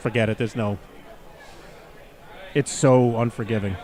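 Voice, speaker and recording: A man at a moderate pace. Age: 60s. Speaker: axe throwing commentator. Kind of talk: live commentary. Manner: halting.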